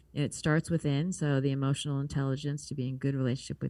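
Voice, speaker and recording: At a very fast pace, a woman speaks in a very deep, low pitch with a dark, mellow tone and fairly even intonation. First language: not English. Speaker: communication coach and show host. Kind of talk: interview.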